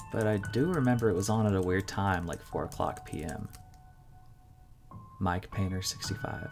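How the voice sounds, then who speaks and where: A man speaks fairly slowly over background music. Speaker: narrator. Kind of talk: horror story narration.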